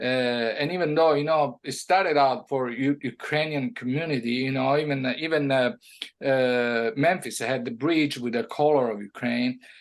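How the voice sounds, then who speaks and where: In an Italian accent, a man speaks at a medium pitch. His pace is moderate and his pitch varies an ordinary amount. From Italy. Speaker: music producer. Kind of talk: interview. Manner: halting, with many fillers.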